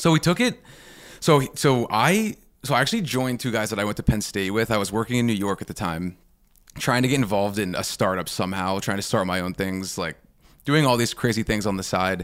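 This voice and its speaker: Speaking at a fairly quick pace with an American accent, this is a normal speaking voice with ordinary pitch variation. The recording is very clean, with a silent background. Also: man, fairly low pitch for a man. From Pittsburgh, US. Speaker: drinks brand founder. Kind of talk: interview conversation.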